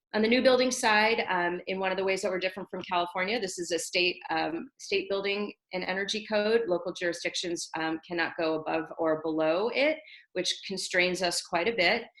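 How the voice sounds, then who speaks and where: This woman talks at a fairly quick pace in a medium pitch, with ordinary variation in her pitch. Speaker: city sustainability manager. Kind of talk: webinar presentation. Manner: fast; halting.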